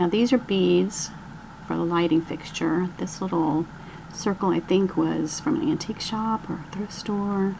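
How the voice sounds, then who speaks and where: A woman of medium pitch talks at a fairly slow pace with ordinary pitch variation. Noticeable background noise runs underneath. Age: 60s. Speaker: crafter showing a dollhouse. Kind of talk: show-and-tell tour. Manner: casual, with hesitations.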